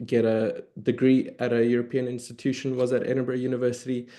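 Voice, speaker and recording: Over a quiet background, a man with a South African accent speaks at a fairly quick pace. His tone is dark and mellow. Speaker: early career historian, researcher. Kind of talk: academic panel discussion.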